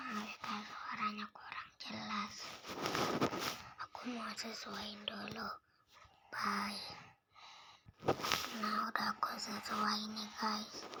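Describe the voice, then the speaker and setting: Someone whispers at a very slow pace, with long, frequent pauses. Noticeable noise sits in the background. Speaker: gaming video creator. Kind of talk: casual gameplay commentary. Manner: whispering.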